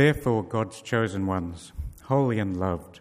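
In an ordinary speaking voice, a man of medium pitch talks at a moderate pace with lively intonation. The recording is very clean, with a silent background. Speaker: scripture reader. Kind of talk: reading aloud. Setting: church.

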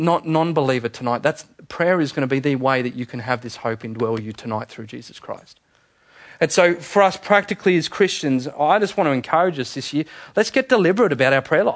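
An Australian-accented man with a fairly high pitch, an animated tone, lively intonation, big swings in loudness and a fairly quick pace. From Australia, Sydney. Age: 30s. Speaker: pastor. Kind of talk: sermon.

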